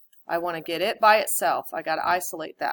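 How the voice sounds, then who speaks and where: A woman with a normal speaking voice, moderate pace, ordinary pitch variation, and a dry, close sound with no echo. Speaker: math teacher. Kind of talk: lecture.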